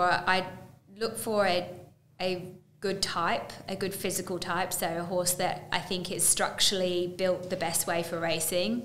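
Moderately paced speech from a woman, her voice carrying audible room echo. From England. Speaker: horse racing broadcaster; podcast guest. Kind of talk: interview. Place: studio.

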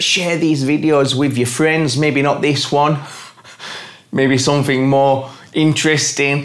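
In an English accent, a man talks at a fairly slow pace, his fairly high voice keeping fairly even intonation. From England. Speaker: gardening YouTuber. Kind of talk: casual vlog address to viewers. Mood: warm, grateful. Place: home room.

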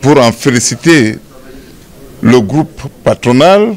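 Over faint music in the background, a man speaks slowly at medium pitch, with vocal fry and lively intonation.

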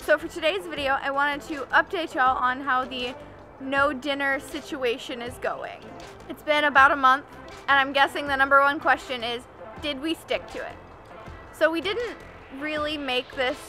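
Raised, projected female voice at a moderate pace, ordinary pitch variation, long and frequent pauses, clear music in the background. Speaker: health vlogger. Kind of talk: casual vlog chat. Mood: upbeat, friendly. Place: forest.

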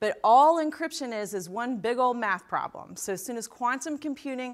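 At a moderate pace and with ordinary pitch variation, a woman speaks against a quiet background. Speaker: keynote speaker. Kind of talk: keynote speech. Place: stage. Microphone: lapel.

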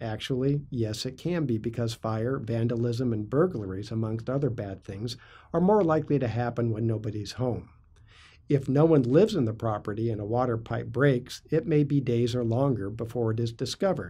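A man speaks at a moderate pace in a somewhat breathy voice. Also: ordinary pitch variation. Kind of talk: informational vlog talk.

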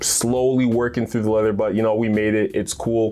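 Faint music plays behind a man who talks at a fairly quick pace with a fairly low pitch. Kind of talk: casual vlog chat. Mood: relaxed, upbeat. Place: home room. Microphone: lapel.

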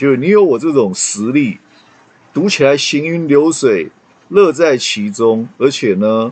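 Pitch swings very widely while the delivery keeps a fairly slow pace. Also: man. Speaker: English reading teacher. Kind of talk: casual lecture to students. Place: home room. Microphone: webcam.

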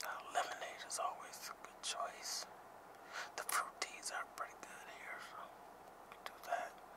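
A man whispers at a moderate pace with long, frequent pauses. His loudness swings widely. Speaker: ASMR content creator. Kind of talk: casual talk to camera, ASMR roleplay in a car. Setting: in a car at a drive-thru, road noise. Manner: soft-spoken, whispered. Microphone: phone near.

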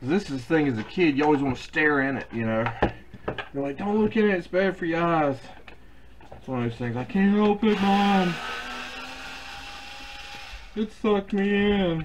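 At a moderate pace with long, frequent pauses, a man speaks at a high pitch with very wide pitch swings amid noticeable background noise. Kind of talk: tutorial. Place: workshop.

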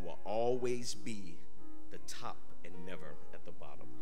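A man with a fairly low pitch is speaking. Clear music plays in the background. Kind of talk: scripture reading. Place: church. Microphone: podium.

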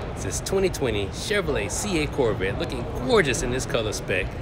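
Over background music, a man talks at a moderate speed. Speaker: car vlogger. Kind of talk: casual vlog chat. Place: hall. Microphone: phone near.

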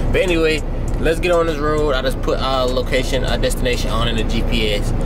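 A man talks at a fairly quick pace. Music plays in the background. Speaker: rookie truck driver vlogger. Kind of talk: casual vlog chat. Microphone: phone near.

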